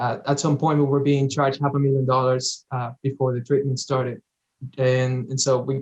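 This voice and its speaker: At a fairly quick pace, a man with a slight Dominican accent talks in a fairly high pitch. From Dominican Republic. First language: Spanish. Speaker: cancer survivor, former patient. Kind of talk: interview.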